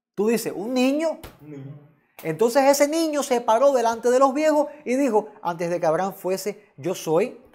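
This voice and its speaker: At a moderate pace, a man talks in an extremely high pitch with lively intonation. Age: 40s. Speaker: pastor teaching theology class. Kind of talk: lecture. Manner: halting.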